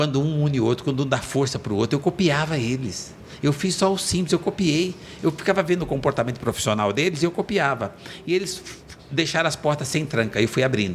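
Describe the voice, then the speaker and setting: Speaking at a fairly quick pace, a man with a fairly high pitch uses lively intonation and very even loudness, with noticeable background noise around him. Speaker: entrepreneur. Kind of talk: podcast interview, life story. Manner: animated.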